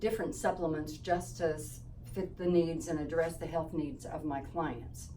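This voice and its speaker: Audible room echo surrounds a woman whose voice sits at a very deep, low pitch. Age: 70s. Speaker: holistic health practitioner. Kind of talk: informational talk to camera. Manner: casual with fillers.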